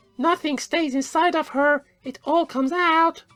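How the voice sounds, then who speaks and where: Over background music, a woman does a squeaky, put-on character voice at a high pitch, keeping a moderate pace and fairly even intonation. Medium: audio drama. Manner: blunt, broken English.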